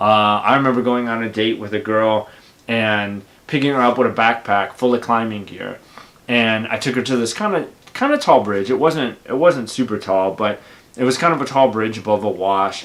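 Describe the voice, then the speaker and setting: A man's medium-pitched voice at a moderate pace, with ordinary pitch variation. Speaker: YouTuber. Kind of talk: casual monologue. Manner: outspoken.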